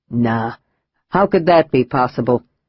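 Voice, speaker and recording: A man's put-on character voice at medium pitch, lively in intonation and moderate in pace. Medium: read story. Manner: calm, laconic.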